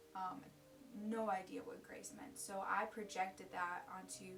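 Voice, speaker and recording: Over music in the background, a woman speaks in a room with audible echo. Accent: American. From US, Ukrainian immigrant family. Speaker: college student sharing faith story. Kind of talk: personal testimony. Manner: casual, with many fillers.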